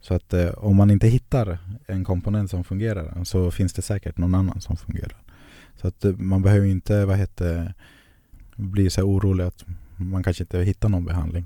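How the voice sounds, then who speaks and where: In a dry, close sound with no echo, a man with a very deep, low pitch and a dark, mellow tone speaks at a fairly quick pace in a monotone, flat way. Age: 20s. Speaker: HIV-positive guest sharing his story. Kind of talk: personal testimony in interview. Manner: halting, many fillers.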